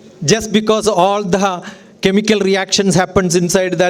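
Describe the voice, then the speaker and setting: Against noticeable background noise, a man with a high pitch speaks at a moderate pace. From Kerala, India. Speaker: educator and speaker. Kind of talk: lecture. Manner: animated.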